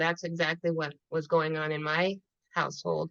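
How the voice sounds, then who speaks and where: Moderate-paced speech from a woman, fairly low in pitch. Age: 70s. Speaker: spiritual teacher, former psychotherapist. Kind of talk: conversational discussion.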